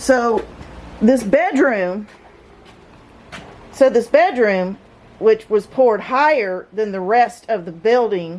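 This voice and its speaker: A woman speaks very slowly with lively intonation and a fairly high pitch, leaving long, frequent pauses over noticeable background noise. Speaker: home renovation vlogger. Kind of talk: casual video narration. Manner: halting.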